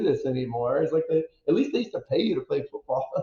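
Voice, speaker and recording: The speaker is a man with an American accent. His words come very fast. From Wisconsin. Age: 50s. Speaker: former football player. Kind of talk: podcast interview.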